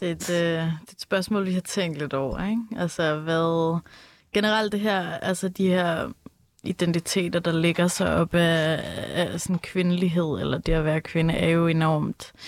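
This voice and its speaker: A woman speaks fairly slowly in an ordinary speaking voice, fairly low in pitch with fairly even intonation. The recording is very clean, with a silent background. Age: 20s. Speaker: educator, communications consultant. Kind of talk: casual chat.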